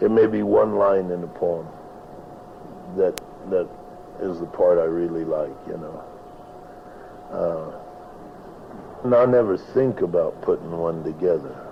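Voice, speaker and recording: Noticeable background noise sits behind a man speaking at a very slow pace. His speech has long, frequent pauses. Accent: American. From Nevada. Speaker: cowboy poet and rancher. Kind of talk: interview answer. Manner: casual, rambling.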